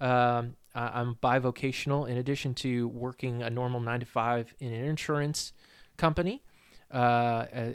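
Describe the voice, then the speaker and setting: A man with an American accent has a normal speaking voice of medium pitch and talks at a fairly slow pace with fairly even intonation. The recording is very clean, with a silent background. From US Northeast, New Hampshire. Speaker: podcast host and church musician. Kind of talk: casual chat.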